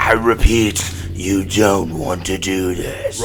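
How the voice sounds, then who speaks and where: A man's put-on character voice, very deep and low, at a very slow pace, with clear background noise. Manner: menacing, theatrical.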